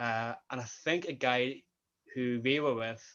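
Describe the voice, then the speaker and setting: Speaking at a medium pitch, a man in a Northern Irish accent keeps a monotone, flat intonation. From Northern Ireland. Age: 20s. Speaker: sports coach and student. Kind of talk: interview.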